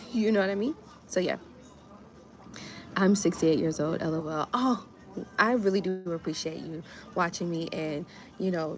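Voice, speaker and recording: An animated woman with an American accent, fairly low in pitch, ordinary pitch variation and a fairly quick pace, with music in the background. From US, Miami. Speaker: grant writer and small business coach. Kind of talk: livestream chat. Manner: casual, animated.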